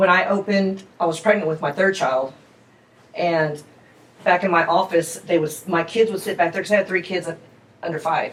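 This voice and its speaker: A woman speaks with a fairly low pitch and ordinary pitch variation. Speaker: restaurant owner. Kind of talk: interview. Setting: in her restaurant. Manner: loud; casual, chatty.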